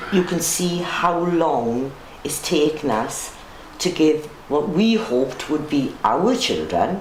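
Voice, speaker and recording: A woman's very deep, low voice at a very slow pace, lively in intonation, amid audible room echo and noticeable background noise. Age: 60s. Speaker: longtime resident. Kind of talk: casual interview.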